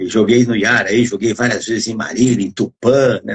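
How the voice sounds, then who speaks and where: A somewhat breathy man speaks at a moderate pace with a medium pitch. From Brazil, interior of São Paulo state (Adamantina). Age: 70s. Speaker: physical education professor. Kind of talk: casual chat. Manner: halting.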